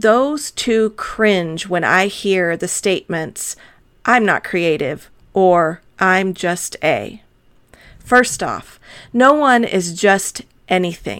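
Very slow and lively in intonation, a woman with an American accent speaks in a medium pitch in a very clean recording with a silent background. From Arizona. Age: middle-aged. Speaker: podcast host. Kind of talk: solo podcast monologue.

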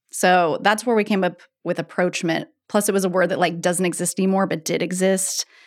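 Speaking in a plain, everyday voice, a woman of medium pitch moves at a fairly quick pace with fairly even intonation in a very clean recording with a silent background. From Oregon, Eugene. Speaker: winemaker. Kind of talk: casual chat.

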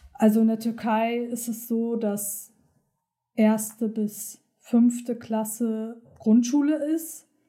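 A somewhat breathy woman's voice, fairly high in pitch, with a dark, mellow tone, fairly even intonation, and a very slow pace. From Hamburg, northern Germany, partly raised in Turkey. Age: 20s. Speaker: medical assistant. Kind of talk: personal testimony interview.

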